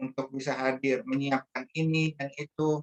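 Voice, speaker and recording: A man with a Bangka accent speaks at a fairly slow pace in a fairly high, flat monotone, the sound dry and close with no echo. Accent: Sumatran (Bangka) accent, per own remark. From Indonesia, Bangka Belitung (Pangkal Pinang). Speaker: religious speaker. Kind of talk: religious talk. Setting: online meeting. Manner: hesitant, many fillers.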